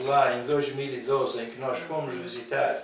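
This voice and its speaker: Audible room echo and noticeable background noise around a fairly high-pitched male voice. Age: 70s. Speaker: charity foundation member. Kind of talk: TV interview.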